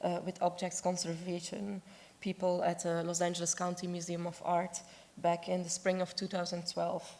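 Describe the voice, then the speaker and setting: A woman speaks at a moderate pace with a fairly low pitch, a dark, mellow tone and monotone, flat intonation. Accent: Dutch. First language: Dutch. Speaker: objects conservator. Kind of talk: conference presentation.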